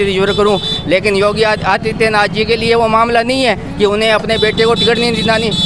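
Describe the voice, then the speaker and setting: Against noticeable background noise, a man with a high pitch speaks at a moderate pace in a flat monotone. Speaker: local resident interviewed by reporter. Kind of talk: street interview.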